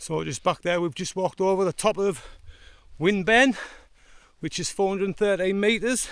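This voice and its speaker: Pausing long and often, a man talks at a high pitch. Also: ordinary pitch variation, moderate pace. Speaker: hiker vlogger. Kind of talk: vlog narration while hiking. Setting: outdoors on a fell.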